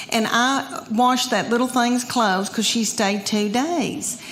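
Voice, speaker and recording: Speaking with a Southern US accent, a woman uses a fairly high pitch with ordinary pitch variation. Her pace is moderate, and there is noticeable background noise. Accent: Southern American. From Southern United States. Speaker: stand-up comedian. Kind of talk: live stand-up comedy set.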